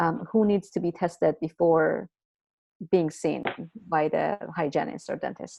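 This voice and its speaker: With vocal fry and a dark, mellow tone, a woman speaks at a fairly low pitch and a fairly slow pace, using ordinary pitch variation and long, frequent pauses. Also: quiet background. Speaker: webinar moderator. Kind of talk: webinar Q&A. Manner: halting, many fillers.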